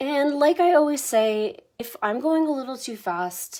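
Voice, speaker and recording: A woman speaks in a dark, mellow tone. Her intonation is lively. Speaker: painting instructor. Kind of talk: live painting tutorial. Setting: Facebook live stream. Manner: animated.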